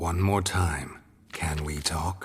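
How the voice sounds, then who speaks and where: This put-on character voice sounds raspy. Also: man. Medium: short film. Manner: dry, laconic.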